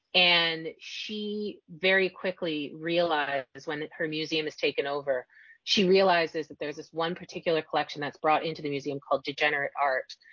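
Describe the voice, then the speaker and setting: In a normal speaking voice with a Canadian accent, a woman talks at a moderate pace with hardly any pauses, her fairly low pitch held in fairly even intonation while her loudness swings widely. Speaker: novelist. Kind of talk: interview.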